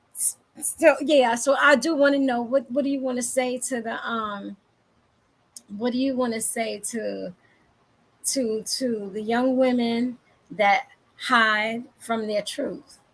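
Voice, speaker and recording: With long, frequent pauses, a high-pitched woman speaks very slowly and with fairly even intonation. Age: 50s. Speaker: talk show host, life coach. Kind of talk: casual interview.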